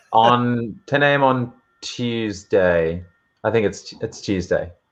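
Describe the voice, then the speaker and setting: A man with an Australian accent, medium pitch and a very slow pace. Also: ordinary pitch variation. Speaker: model designer. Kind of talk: casual chat.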